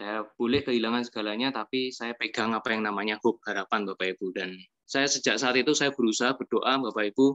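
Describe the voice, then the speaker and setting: A man with a Yogyakarta accent talks at a very fast pace with hardly any pauses, his medium-pitched tone bright and sharp. His intonation is fairly even, and the sound is dry and close with no echo. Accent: Javanese (Yogyakarta) accent, noticeable. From Yogyakarta, Java. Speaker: restaurant owner and network-marketing presenter. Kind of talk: testimonial presentation to an audience.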